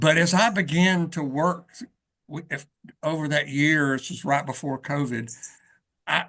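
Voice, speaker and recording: The tone is bright and sharp, with ordinary pitch variation at a fairly slow pace. Long pauses come often over a quiet background. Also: man, fairly high pitch for a man, big swings in loudness. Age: 60s. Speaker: author and preacher. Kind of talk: interview conversation. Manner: halting, many repeated words.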